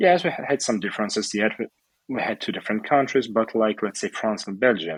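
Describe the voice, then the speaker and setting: With a Russian accent, a man speaks at a fairly low pitch with lively intonation. The sound is dry and close, with no echo. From Ukraine, Odessa. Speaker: entrepreneur and charity organizer. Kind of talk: interview. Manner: calm.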